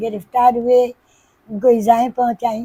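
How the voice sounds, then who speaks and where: The woman's voice has a dark, mellow tone. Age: 80s+. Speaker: singer. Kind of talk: interview answer.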